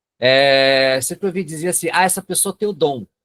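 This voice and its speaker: The voice carries a northern Paraná accent. Its intonation is lively and its pace moderate. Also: man. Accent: northern Paraná interior accent, rhotic r. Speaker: psychoanalyst and lecturer. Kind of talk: webinar lecture. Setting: online webinar.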